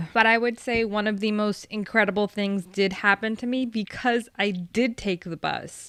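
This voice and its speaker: Soft-spoken and fairly high-pitched, a woman talks at a fairly slow pace in a very clean recording with a silent background. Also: dry, close sound with no echo. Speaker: vtuber. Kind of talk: storytime.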